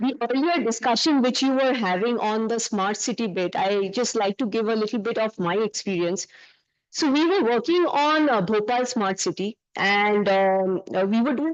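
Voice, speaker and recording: Her pitch is fairly high for a woman, with lively intonation. She speaks at a moderate pace. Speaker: urban planning consultant. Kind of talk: panel presentation. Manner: loud.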